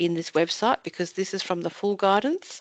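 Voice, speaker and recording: With an Australian accent, a woman talks at a moderate pace with ordinary pitch variation, the sound dry and close with no echo over a quiet background. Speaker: mental health commission staff presenter. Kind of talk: webinar presentation with screen demo. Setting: online webinar. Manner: casual, self-narrating.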